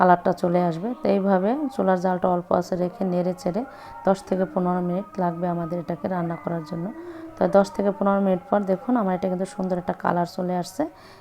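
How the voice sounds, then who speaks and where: Noticeable background noise sits under a woman speaking at medium pitch with fairly even intonation. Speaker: cooking channel host. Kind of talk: cooking tutorial.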